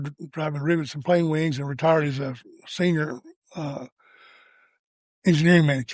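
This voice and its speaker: A man speaks with a Tennessee accent. His pace is moderate and his intonation fairly even. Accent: US Southern (Tennessee). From Tennessee, south of Nashville. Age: 70s. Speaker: real estate agent. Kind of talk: interview.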